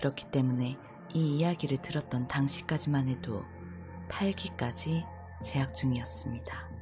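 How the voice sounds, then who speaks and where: At a very slow pace, the speaker talks over background music. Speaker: horror radio host / storyteller. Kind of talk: horror radio storytelling, calm narration of a ghost story. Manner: steady, measured narration.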